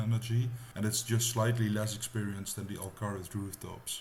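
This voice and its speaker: A man in a Dutch accent talks at a fairly quick pace, somewhat breathy, with ordinary pitch variation. Audible room echo surrounds the voice. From Netherlands. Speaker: gaming YouTuber. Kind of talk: gameplay tutorial narration. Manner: casual.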